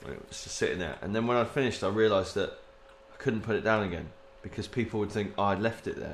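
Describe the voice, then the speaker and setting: Speaking very fast, a man uses a fairly low pitch and fairly even intonation. He has an English accent. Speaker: podcast co-host. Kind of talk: casual banter. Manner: joking, playful.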